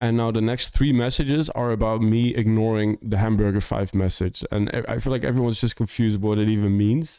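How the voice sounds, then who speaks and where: In a very clean recording with a silent background, the speaker has a slight Dutch accent. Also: man. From Netherlands. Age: 30s. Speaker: music producer and streamer. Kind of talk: casual livestream chat. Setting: live stream.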